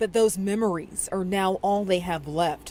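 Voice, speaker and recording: A woman's fairly low voice with an American accent, moderate pace and ordinary pitch variation, over noticeable background noise. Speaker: TV news reporter and anchor. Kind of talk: TV news report and anchor read.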